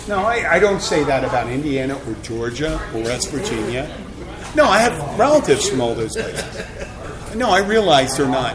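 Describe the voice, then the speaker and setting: In a Philadelphia accent, a man with a fairly high voice and very wide pitch swings talks at a moderate pace over audible room echo and noticeable background noise. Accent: Philly. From Philadelphia, Pennsylvania. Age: 50s. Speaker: podcast host. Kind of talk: casual chat. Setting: live recording in a bar.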